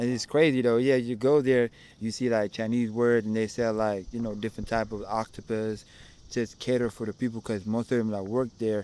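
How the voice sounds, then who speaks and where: A man with an Ethiopian accent speaks at a fairly quick pace in a medium pitch. His tone is dark and mellow, and his intonation is monotone and flat. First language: Amharic. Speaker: content creator interviewed on street. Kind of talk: casual interview. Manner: halting, many false starts.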